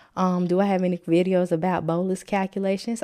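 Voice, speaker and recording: In a very clean recording with a silent background, a woman talks with a fairly low pitch and a dark, mellow tone. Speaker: nurse educator. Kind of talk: live stream tutorial. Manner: casual, chatty.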